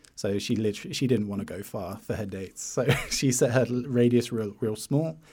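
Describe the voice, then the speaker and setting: A man with a British accent, ordinary pitch variation and a fairly quick pace. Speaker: YouTuber. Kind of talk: casual interview chat.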